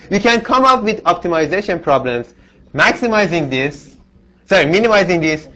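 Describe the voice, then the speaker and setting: A man talks at a fairly quick pace in a non-native accent. His high voice moves in very wide pitch swings. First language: not English. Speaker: university instructor. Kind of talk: lecture. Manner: halting, with many restarts.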